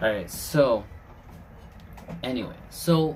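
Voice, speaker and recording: Against audible room echo, a man with a non-native accent talks with ordinary pitch variation. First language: not English. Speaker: podcast host. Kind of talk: casual chat.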